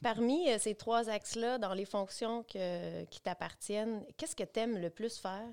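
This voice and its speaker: A woman's plain, everyday voice, fairly high in pitch with ordinary pitch variation, at a fairly slow pace with hardly any pauses. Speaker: local development coordinator. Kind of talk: casual interview chat.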